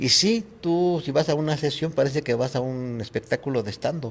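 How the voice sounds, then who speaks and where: This man's voice is somewhat breathy and fairly high in pitch. His pitch variation is ordinary and his pace moderate. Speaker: actor and puppeteer. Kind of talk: interview. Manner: soft-spoken.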